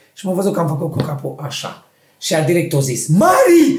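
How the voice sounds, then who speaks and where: With very wide pitch swings, a man talks at a fairly quick pace in a space with audible room echo. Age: 40s. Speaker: podcast co-host. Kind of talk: casual chat.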